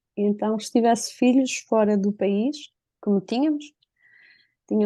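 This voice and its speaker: A woman with a European Portuguese accent, medium pitch and dark, mellow tone, ordinary pitch variation, a moderate pace and a quiet background. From northern Portugal. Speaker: interviewee telling a personal story. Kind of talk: personal testimony.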